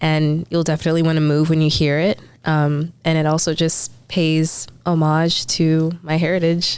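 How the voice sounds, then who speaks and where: A woman's very deep, low voice in an American accent, monotone and flat, at a moderate pace with very even loudness and hardly any pauses. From Texas suburbs, US. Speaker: singer. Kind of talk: interview. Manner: casual, with many fillers.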